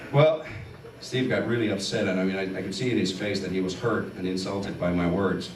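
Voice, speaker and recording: Amid noticeable background noise and audible room echo, a man speaks at a moderate pace. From Finland. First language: Finnish. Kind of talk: testimony. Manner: animated.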